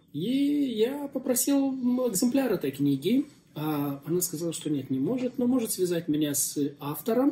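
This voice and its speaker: A man speaks at a high pitch. His pitch swings very widely. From Moldova. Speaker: pastor and interviewer. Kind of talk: casual interview. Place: cafe. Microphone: phone near.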